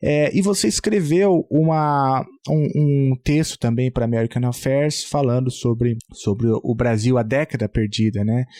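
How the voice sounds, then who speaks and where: A man's medium-pitched voice in a dark, mellow tone, at a fairly slow pace with hardly any pauses, very even loudness and ordinary pitch variation, in a very clean recording with a silent background and a dry, close sound with no echo. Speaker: podcast host. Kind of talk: interview conversation. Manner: halting, many fillers and repetitions.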